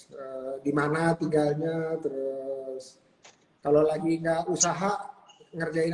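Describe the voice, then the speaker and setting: Over noticeable background noise, a man speaks at a fairly slow pace. His fairly high voice keeps a fairly even intonation. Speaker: talk show host. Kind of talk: casual chat.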